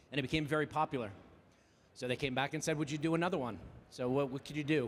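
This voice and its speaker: A man's fairly high-pitched voice in a New Jersey accent. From New Jersey, Jersey Shore. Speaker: AV industry professional, conference presenter. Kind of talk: conference presentation. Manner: very fast; animated.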